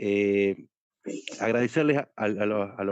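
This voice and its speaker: A man with a Salta accent and fairly low pitch, dry close sound with no echo, quiet background. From Salta, northwestern Argentina. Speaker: political activist. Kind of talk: casual chat.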